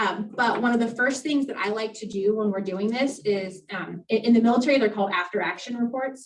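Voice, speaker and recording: A woman with a fairly high pitch and ordinary pitch variation talks at a fairly quick pace. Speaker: workshop presenter. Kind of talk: presentation to members. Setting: membership meeting. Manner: fast.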